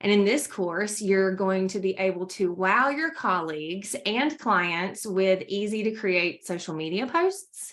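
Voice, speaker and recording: Speaking at a fairly slow pace, a woman with a North Carolina accent uses a medium pitch and ordinary pitch variation. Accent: Southern US (North Carolina). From US South, North Carolina. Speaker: trainer presenting courses. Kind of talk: corporate presentation. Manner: animated.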